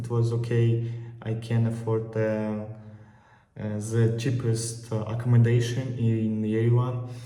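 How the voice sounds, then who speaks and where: Speaking very slowly in a Russian accent, a man uses a medium-pitched, somewhat breathy voice with a dark, mellow tone. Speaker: travel vlogger. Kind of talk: casual talk to camera. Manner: hesitant, many filler pauses.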